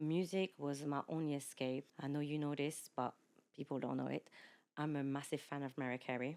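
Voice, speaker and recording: The speaker talks with a French accent at a moderate pace. Loudness stays very even throughout. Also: woman, very deep, low pitch for a woman. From France, of Mauritian parents. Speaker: podcast guest, former teacher, mother. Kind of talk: casual chat. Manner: animated.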